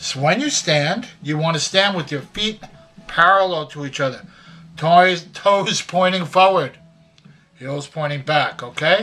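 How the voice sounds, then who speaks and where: With music behind, the speech moves fairly slowly and the pitch varies in an ordinary way. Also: man, high pitch for a man. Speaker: grandfather. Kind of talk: casual advice talk to camera. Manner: folksy, conversational.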